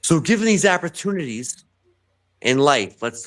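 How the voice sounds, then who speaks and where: Swinging very widely in pitch, a man with an American accent talks at a moderate pace on a very clean recording with a silent background. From New York, Bronx. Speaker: writer and podcast guest. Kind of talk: casual chat. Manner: animated; halting.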